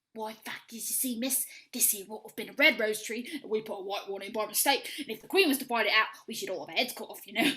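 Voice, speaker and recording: A female-sounding put-on character voice speaks at a very fast pace. The pitch is fairly high. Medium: stage play. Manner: nervous, stammering.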